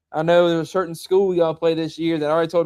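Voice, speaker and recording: Talking at a very fast pace in a Southern US accent, a man keeps a high pitch and monotone, flat intonation. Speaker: high school football show host. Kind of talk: casual chat.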